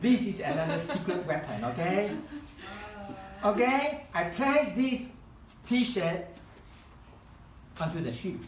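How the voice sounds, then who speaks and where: Over noticeable background noise and audible room echo, a man with a Chinese accent talks at a very slow pace in a high voice, making very wide pitch swings and long, frequent pauses. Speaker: hobby craft instructor. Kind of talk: tutorial demonstration. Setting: live demonstration event. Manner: halting.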